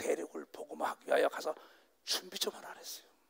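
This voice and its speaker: A man's animated tone at a fairly quick pace, in a dry, close sound with no echo. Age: 60s. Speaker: pastor. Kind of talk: sermon. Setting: stage with audience.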